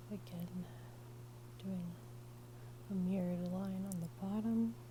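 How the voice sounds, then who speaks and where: Against noticeable background noise, a woman with an American accent speaks at a fairly slow pace. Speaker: artist, drawing teacher. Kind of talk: ASMR drawing tutorial, casual instructional talk.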